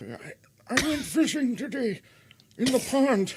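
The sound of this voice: A female-sounding put-on character voice, high-pitched for a woman, at a fairly slow pace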